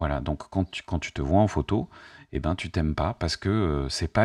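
A man at a moderate pace, with ordinary pitch variation against a quiet background. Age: 50s. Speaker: YouTuber and life coach; YouTuber, life coach. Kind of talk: spontaneous monologue to camera. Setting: at home, facing camera. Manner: hesitant, many fillers. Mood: calm, reflective, warm. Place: home room. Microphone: studio mic.

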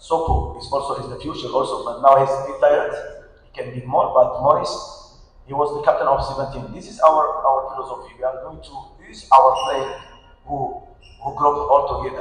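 Over audible room echo, a man speaks at a moderate pace, his loudness swinging widely. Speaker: national team football coach. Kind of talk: post-match press interview. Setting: press conference. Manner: halting, searching for words. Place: hall. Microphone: camera far.

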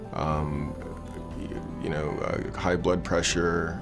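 Clear music plays in the background as a man talks at a fairly slow pace with ordinary pitch variation. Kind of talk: interview answer. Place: studio. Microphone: lapel.

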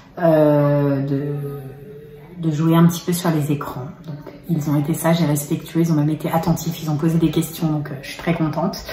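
There is audible room echo and light background noise as a woman speaks at a fairly low pitch. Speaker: family vlogger. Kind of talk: casual vlog chat. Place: kitchen. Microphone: phone near.

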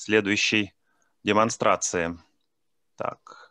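A man's medium-pitched voice has a bright, sharp tone and a dry, close sound with no echo. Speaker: field linguist. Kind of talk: conference talk.

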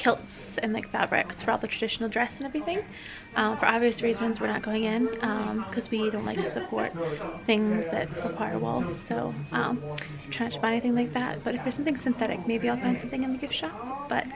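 Noticeable background noise sits behind a woman speaking at a fairly quick pace. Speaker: travel vlogger. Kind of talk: casual vlog chat. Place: shop. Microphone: phone near.

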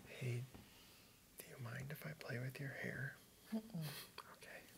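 Whispering and soft-spoken, a man goes at a very slow pace over noticeable background noise. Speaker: role-play study hall classmate. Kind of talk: ASMR role play. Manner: soft-spoken, whispered. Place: studio. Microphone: lapel.

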